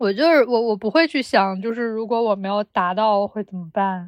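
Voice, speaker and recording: Against a quiet background with a dry, close sound and no echo, a woman speaks with fairly high pitch and lively intonation. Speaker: podcast co-host, graduate student researcher. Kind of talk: casual chat. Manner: animated.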